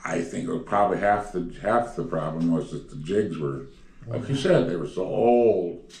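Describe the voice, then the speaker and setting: The speech moves at a moderate pace. Light background noise and audible room echo are present. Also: man, fairly low pitch for a man. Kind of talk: interview answer. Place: home room.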